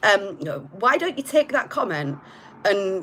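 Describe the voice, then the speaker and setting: A woman's medium-pitched voice is heard through noticeable background noise. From northern England, Hull, Yorkshire. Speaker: tarot reader. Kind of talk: live-streamed tarot reading. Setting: live stream. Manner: casual, with filler words.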